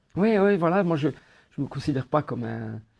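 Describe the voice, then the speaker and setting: A man speaks with a Corsican accent. His intonation is lively and his pace moderate. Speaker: actor and comedy filmmaker. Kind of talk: interview. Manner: hesitant, many fillers and repetitions.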